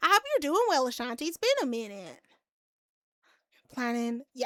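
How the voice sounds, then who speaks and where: A woman with an American accent speaks in a raised, projected voice with a bright, sharp tone. Her pitch swings very widely, and the sound is dry and close with no echo. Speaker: streamer. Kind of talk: casual chat. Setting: live stream. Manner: halting, repeats words.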